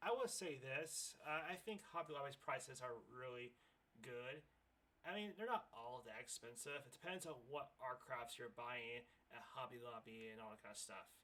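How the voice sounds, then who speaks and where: Speaking at a moderate pace, a man with an American accent and a bright, sharp tone shows big swings in loudness. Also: medium pitch for a man, lively intonation. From United States. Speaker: YouTube reaction video creator. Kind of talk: reaction commentary.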